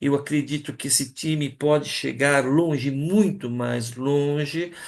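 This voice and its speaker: This man's speech moves fairly slowly. The intonation is fairly even. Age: 60s. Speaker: teacher. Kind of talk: talk to colleagues. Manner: hesitant, many fillers.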